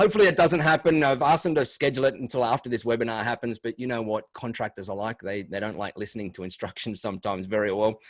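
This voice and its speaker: A man talking very fast against a quiet background. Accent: Australian. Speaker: MSP business coach. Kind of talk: webinar presentation. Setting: video call.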